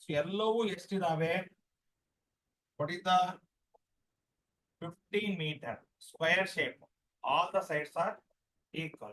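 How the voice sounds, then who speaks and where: A quiet, high-pitched male voice, bright and sharp in tone, with ordinary pitch variation. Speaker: maths teacher. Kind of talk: online class lecture. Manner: too quiet.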